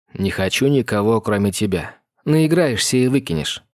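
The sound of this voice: Lively intonation from an unforced reading voice, with a quiet background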